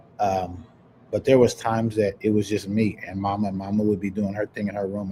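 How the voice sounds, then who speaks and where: A man speaks in a fairly low, somewhat breathy voice. His intonation stays flat and monotone. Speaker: podcast host. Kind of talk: casual live-stream chat. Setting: live stream.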